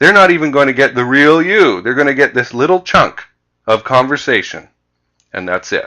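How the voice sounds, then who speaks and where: A man with a fairly high pitch and vocal fry talks at a moderate pace with lively intonation. His tone is bright and sharp, over a quiet background. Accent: Canadian. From Canada (Vancouver). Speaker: sales trainer. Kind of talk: presentation with slides.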